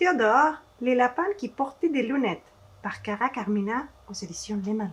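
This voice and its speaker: Speaking with a Spanish accent, a woman talks at a moderate pace. Her high pitch moves in very wide swings. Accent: Spanish-accented French, non-native. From Mexico. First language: Spanish (speaking French). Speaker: children's author and illustrator. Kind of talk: reading aloud to children. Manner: halting, with hesitations.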